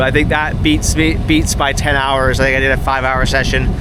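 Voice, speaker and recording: Audible room echo and noticeable background noise fill the recording. A man talks through them. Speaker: sailor and video creator. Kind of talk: vlog narration to camera. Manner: fast.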